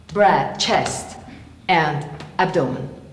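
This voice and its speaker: Woman speaking at a very slow pace with very wide pitch swings, audible room echo and noticeable background noise. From Italy. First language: Italian. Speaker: theatre actress. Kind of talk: lecture-demonstration.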